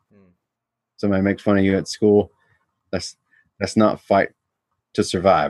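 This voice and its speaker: A man speaks in a monotone, flat intonation with big swings in loudness and long, frequent pauses, the sound dry and close with no echo. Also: fairly low pitch for a man, moderate pace. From US South, Georgia (Atlanta suburbs). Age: 30s. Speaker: martial arts instructor. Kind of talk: casual interview. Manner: laid back.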